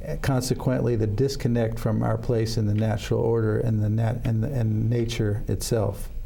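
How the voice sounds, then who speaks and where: The speech runs at a moderate pace with hardly any pauses, very even loudness and monotone, flat intonation, with audible room echo. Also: man, medium pitch for a man. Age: 60s. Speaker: interfaith minister, death care advocate. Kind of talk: interview. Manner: halting, many repetitions.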